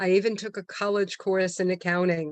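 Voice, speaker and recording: A woman with an American accent has an unremarkable speaking voice at a medium pitch. She talks at a fairly slow pace in a dry, close sound with no echo. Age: 60s. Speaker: meeting host, toastmaster of the day. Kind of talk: club meeting speech. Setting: online video meeting.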